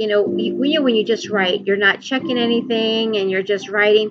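Noticeable background noise behind a woman, her pitch fairly high and varying in an ordinary way. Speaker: podcast host and author, former caregiver. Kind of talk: casual monologue. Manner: halting, with many fillers.

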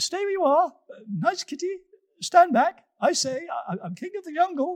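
In a squeaky, put-on character voice with extremely high pitch, the speaker goes at a moderate pace. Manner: frightened, bluffing.

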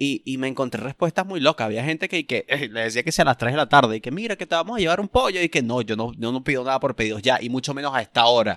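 A man with a Venezuelan accent speaks very fast at a medium pitch, with lively intonation and hardly any pauses, on a very clean, dry, close recording with a silent background and no echo. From Venezuela, Punto Fijo, Falcón state. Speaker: stand-up comedian. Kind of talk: casual chat.

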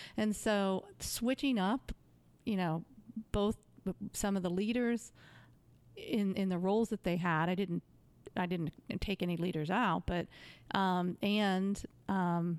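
Recorded very cleanly with a silent background and a dry, close sound free of echo, a woman speaks at a medium pitch with fairly even intonation. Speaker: sales executive. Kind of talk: casual interview chat.

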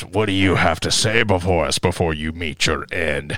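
In a raspy, put-on character voice, a man speaks at a moderate pace with very deep, low pitch and ordinary pitch variation. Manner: menacing, theatrical.

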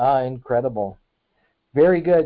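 With an American accent, a man talks at a moderate pace in a normal speaking voice, his pitch fairly high and its variation ordinary. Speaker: podcast host. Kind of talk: casual interview. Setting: phone or video call.

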